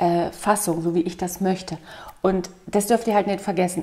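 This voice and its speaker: At a fairly slow pace, a woman is talking. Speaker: vlogger. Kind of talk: casual vlog chat. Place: home room.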